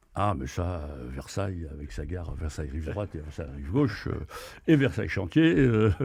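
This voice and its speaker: Speaking at a moderate pace with vocal fry and lively intonation, a man uses a very deep, low pitch against a quiet background. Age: 70s. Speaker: retired traveller and adventurer. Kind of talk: podcast interview. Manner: hesitant, many fillers.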